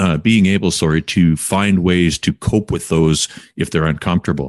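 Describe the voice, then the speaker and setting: A man with a Canadian accent, very deep and low-pitched, at a moderate pace with fairly even intonation, in a dry, close sound with no echo. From Quesnel, British Columbia, Canada. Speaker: podcast host. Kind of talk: casual interview.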